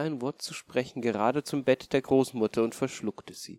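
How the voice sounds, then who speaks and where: A man with an unremarkable speaking voice talks at medium pitch and a moderate pace, the sound dry and close with no echo. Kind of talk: bedtime story telling. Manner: calm, storyteller's pace, gentle; changes voice for wolf, mother and grandmother.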